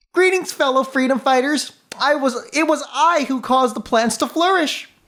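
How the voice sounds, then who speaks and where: A man puts on a character voice pitched extremely high, keeping a moderate pace. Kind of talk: formal, lecturing. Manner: smug, pompous, explaining.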